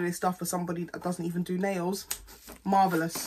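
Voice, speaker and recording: A woman with a British accent, fairly low-pitched, very fast, fairly even in intonation, over noticeable background noise. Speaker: beauty vlogger. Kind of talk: casual product haul vlog. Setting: at home, recording to camera.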